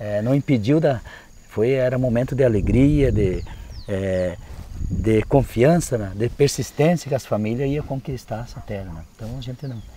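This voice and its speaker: His dark, mellow tone carries at a moderate pace. The man's loudness swings widely. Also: medium pitch for a man, ordinary pitch variation. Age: 60s. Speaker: landless movement settler, farmer. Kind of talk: interview testimony. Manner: halting, many fillers.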